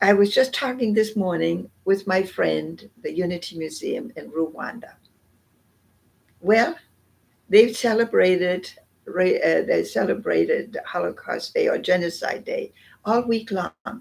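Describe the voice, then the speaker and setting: With a German accent, a woman speaks at a fairly slow pace. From northern Germany. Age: 80s+. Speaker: Holocaust remembrance speaker, human rights consultant. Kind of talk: public talk, personal testimony. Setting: museum exhibit. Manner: halting, many fillers.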